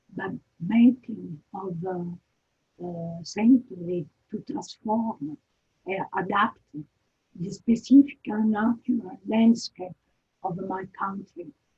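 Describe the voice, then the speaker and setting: With an Italian accent, a somewhat breathy woman of medium pitch talks at a very slow pace, pausing long and often, with ordinary pitch variation and big swings in loudness. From Italy. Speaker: architecture lecturer. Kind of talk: lecture. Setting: video call. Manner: halting.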